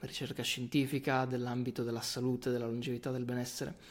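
Intonation stays monotone and flat at a very fast pace. The recording is very clean, with a silent background. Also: man. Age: 20s. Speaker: physiotherapist. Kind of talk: interview conversation.

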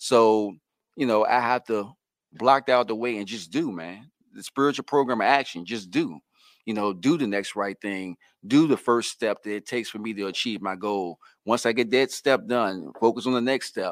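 A man's unremarkable speaking voice at medium pitch and moderate pace, with big swings in loudness, in a very clean recording with a silent background and a dry, close sound with no echo. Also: ordinary pitch variation. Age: 40s. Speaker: person in long-term recovery, patient monitor at a clinic. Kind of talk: casual interview, recovery testimony.

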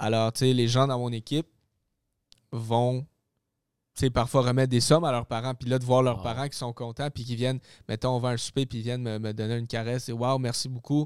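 In a very clean recording with a silent background, a man speaks with monotone, flat intonation at a fairly quick pace, taking long, frequent pauses. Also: medium pitch for a man. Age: 20s. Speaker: real estate investor and trainer. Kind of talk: casual interview.

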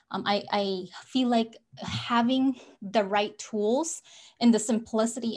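A woman's somewhat breathy, fairly high voice with ordinary pitch variation, in a very clean recording with a silent background. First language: not English. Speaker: business coach. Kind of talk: interview chat.

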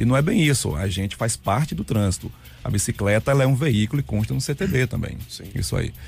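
At a fairly quick pace, a man speaks with a Bahian accent over noticeable background noise. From Bahia, Brazil (Juazeiro). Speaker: cycling activist. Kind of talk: radio interview. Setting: radio studio.

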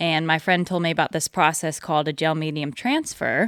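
On a very clean recording with a silent background, a woman with an American accent speaks at a moderate pace, her very deep, low voice showing ordinary pitch variation. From Northern California. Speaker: river paddleboarder and photographer. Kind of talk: interview. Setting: her house.

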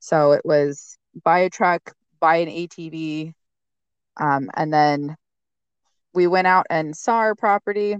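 In an American accent, a woman with a fairly low pitch speaks at a very slow pace with long, frequent pauses and ordinary pitch variation, the sound dry and close with no echo against a quiet background. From eastern Washington state. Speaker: homesteader. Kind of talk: casual chat.

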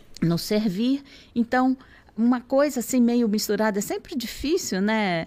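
A woman speaks at a fairly slow pace in a fairly high pitch, her dark, mellow tone carried by lively intonation on a very clean recording with a silent background. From Rio de Janeiro state, Brazil (Nova Iguaçu, Baixada Fluminense). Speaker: NGO country director. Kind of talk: interview. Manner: halting.

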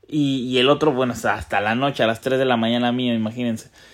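With a Mexican accent, a man speaks at a medium pitch and with fairly even intonation. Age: 30s. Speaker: sports betting tipster. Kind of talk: casual monologue. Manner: laughs often; halting with repetitions.

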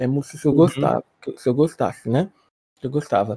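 The man's tone is dark and mellow, his pitch varies in an ordinary way, and the sound is dry and close with no echo. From Espírito Santo, Brazil. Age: 20s. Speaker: R&B singer. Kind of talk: interview.

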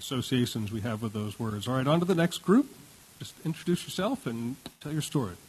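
A somewhat breathy man at medium pitch talks at a fairly quick pace. His intonation is lively, and his loudness swings widely. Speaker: panel moderator, former radio host. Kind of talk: moderating a panel discussion. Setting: live event in a university ballroom with audience.

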